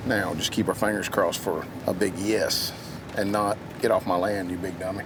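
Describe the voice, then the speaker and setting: A man with a fairly low pitch and a Southern US accent, speaking at a moderate pace in a monotone, flat delivery over noticeable background noise. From Georgia, US South. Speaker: hunting show host. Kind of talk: casual chat; tutorial.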